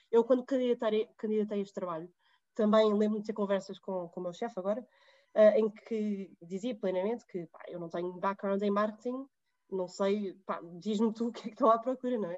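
Talking at a fairly quick pace, a woman with an ordinary speaking voice and fairly high pitch keeps her intonation fairly even while her loudness swings widely. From Portugal. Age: 20s. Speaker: digital marketing professional. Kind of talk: interview conversation.

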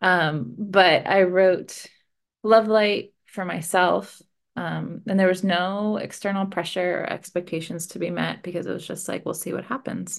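A woman speaks slowly-ish with vocal fry, ordinary pitch variation and big swings in loudness. The background is quiet and her pace fairly slow. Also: medium pitch for a woman. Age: 30s. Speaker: romance novelist. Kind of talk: interview.

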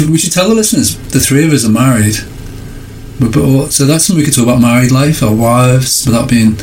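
A man's medium-pitched voice in a northern English accent, at very even loudness, with audible room echo and noticeable background noise. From northern England. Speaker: podcast co-host. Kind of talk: casual chat.

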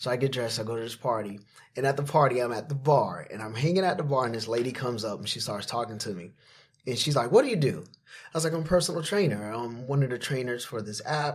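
A man with an American accent talks at a fairly quick pace. His voice is somewhat breathy, with lively intonation. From Florida. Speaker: personal trainer and TV creator. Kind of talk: casual interview storytelling.

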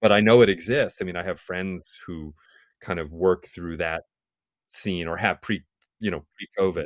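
A man with a very deep, low pitch speaks with an American accent at a moderate pace and ordinary pitch variation. The recording is very clean with a silent background, dry and close with no echo. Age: 40s. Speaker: musician. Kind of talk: interview conversation.

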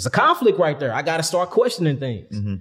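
A man with an American accent talks at a high pitch. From St. Louis, Missouri, US Midwest. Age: 30s. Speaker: holistic health teacher. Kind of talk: casual interview.

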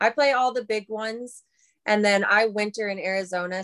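Speaking with an American accent in an unremarkable speaking voice, this delivery runs at a moderate pace with fairly even intonation and a dry, close sound with no echo. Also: woman. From Minnesota. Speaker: professional disc golfer. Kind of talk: interview. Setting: studio.

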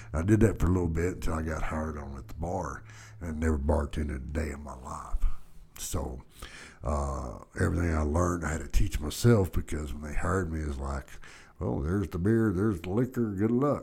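Talking at a fairly quick pace, a man with an American accent uses a very deep, low pitch, a dark, mellow tone, vocal fry and lively intonation. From Texas, Dallas. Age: 50s. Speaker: podcast host. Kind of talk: casual monologue storytelling. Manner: hesitant, many fillers.

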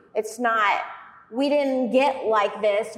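A woman with a plain, everyday voice, a fairly slow pace and ordinary pitch variation. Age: 30s. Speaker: gym co-owner and fitness coach. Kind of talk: casual chat.

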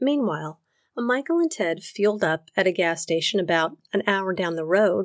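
Captured on a very clean recording with a silent background, a woman with an unremarkable speaking voice speaks at a fairly slow pace, her medium pitch showing ordinary variation. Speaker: podcast narrator. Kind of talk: true-crime narration. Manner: measured, storytelling tone; wry, personal, conversational.

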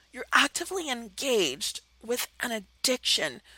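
A woman's animated voice with very wide pitch swings, in a dry, close sound with no echo. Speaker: radio host and BDSM counselor, life coach. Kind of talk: solo monologue, advice talk.

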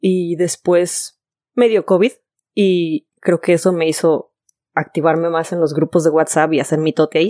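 The voice has a dark, mellow tone, moves at a fairly slow pace and sounds dry and close with no echo. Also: woman. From Guadalajara, Mexico. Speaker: podcast co-host. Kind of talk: casual chat.

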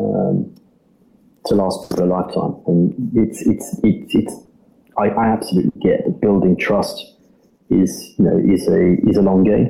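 A man's fairly low-pitched voice comes through with music in the background. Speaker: startup CEO. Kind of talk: casual interview.

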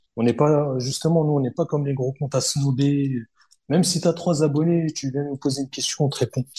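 In a very clean recording with a silent background, a somewhat breathy man with a dark, mellow tone and a fairly high pitch talks at a fairly quick pace with fairly even intonation. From Paris suburbs, Hauts-de-Seine. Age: 30s. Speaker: kenjutsu practitioner. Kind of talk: casual chat. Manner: halting, many repetitions.

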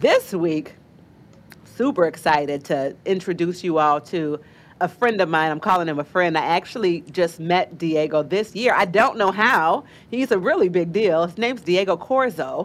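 At a moderate pace, a woman with a fairly low pitch and lively intonation speaks in a plain, everyday voice. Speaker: podcast host. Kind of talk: interview.

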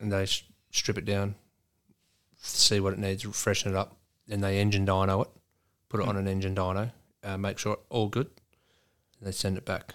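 With an Australian accent, a man speaks at a fairly low pitch in a flat monotone, moving at a fairly quick pace yet with long, frequent pauses, on a very clean recording with a silent background. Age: 40s. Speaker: truck driver and amateur racing driver. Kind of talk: casual chat.

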